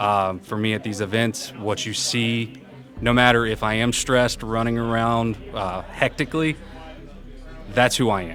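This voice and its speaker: A man's medium-pitched voice comes at a moderate speed while noticeable noise sounds in the background. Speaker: event program manager. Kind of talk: interview. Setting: live conference event. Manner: animated.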